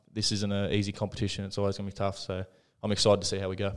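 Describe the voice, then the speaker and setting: Over music in the background, a man with an Australian accent speaks in a fairly low, monotone voice with flat intonation. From country New South Wales, Australia. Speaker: rugby league player. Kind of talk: casual interview.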